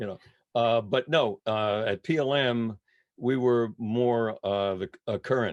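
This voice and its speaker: Against a quiet background, a man speaks very slowly. The sound is dry and close, with no echo. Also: medium pitch for a man, ordinary pitch variation. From New England. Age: 80s+. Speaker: retired radio disc jockey and musician. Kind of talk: casual interview chat. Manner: halting, many fillers.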